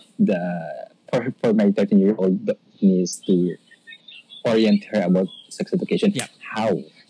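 A man speaks with a Filipino accent. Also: dry, close sound with no echo. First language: Tagalog. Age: 40s. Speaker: caller. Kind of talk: casual chat.

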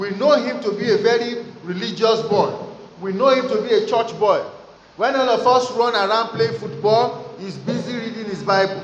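Pitch moves in a normal way while noticeable noise sounds in the background. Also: man, extremely high pitch for a man, moderate pace. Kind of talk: fervent prayer. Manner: loud, impassioned, urgent, with rising pitch and repeated Amens and Hallelujahs; commanding, declarative, preacher-like.

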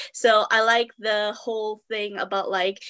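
The woman's tone is bright and sharp, her intonation monotone and flat. The recording sounds dry and close, with no echo. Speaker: freelance journalist and reviewer. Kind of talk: casual panel discussion. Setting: video call. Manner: hesitant, filler words.

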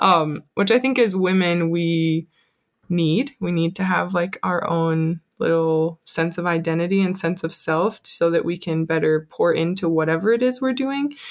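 An unremarkable speaking voice, this woman's has an American accent, a fairly low pitch, ordinary pitch variation and a moderate pace. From Colorado. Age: 20s. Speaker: small business owner. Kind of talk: casual chat.

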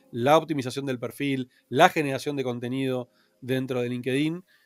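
A man speaks at a fairly quick pace with a medium pitch, his voice dry and close with no echo while music plays in the background. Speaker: entrepreneur. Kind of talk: interview.

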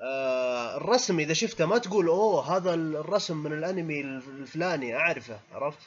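A man speaks in an animated tone at a fairly slow pace. His fairly high pitch moves with lively intonation. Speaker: anime podcast panelist. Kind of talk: casual chat. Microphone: audio cutting out on call.

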